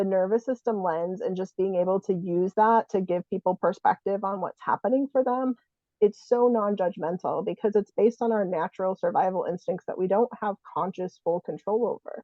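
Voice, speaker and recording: A woman with an unremarkable speaking voice talks at a fairly quick pace and medium pitch, with fairly even intonation and hardly any pauses. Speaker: psychotherapist and ADHD coach. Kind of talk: interview host questions.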